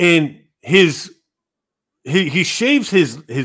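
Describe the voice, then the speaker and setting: Vocal fry is heard in a very clean recording with a silent background. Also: man. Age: 40s. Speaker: gaming podcast host. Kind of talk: casual chat. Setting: live stream.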